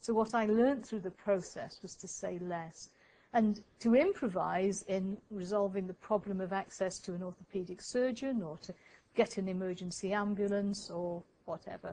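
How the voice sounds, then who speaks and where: In an English accent, a woman speaks at a medium pitch with a dark, mellow tone. Her intonation stays fairly even while her loudness swings a lot. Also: moderate pace. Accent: received pronunciation, posh. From Wales. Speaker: professor of midwifery research. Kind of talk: lecture. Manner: hesitant, with fillers and repetitions.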